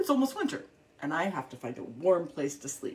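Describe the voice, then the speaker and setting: A put-on character voice moves at a fairly quick pace in a middle pitch. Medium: read story.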